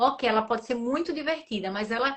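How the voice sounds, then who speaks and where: An ordinary speaking voice is heard. Its pitch moves up and down in a typical way. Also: woman. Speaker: entrepreneur. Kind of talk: live stream interview.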